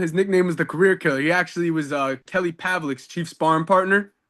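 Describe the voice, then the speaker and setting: A man talks with a fairly high pitch. Behind him, the background is quiet. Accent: New York. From New York, Peekskill. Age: 20s. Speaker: professional boxer. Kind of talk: interview. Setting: gym. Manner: halting, many false starts.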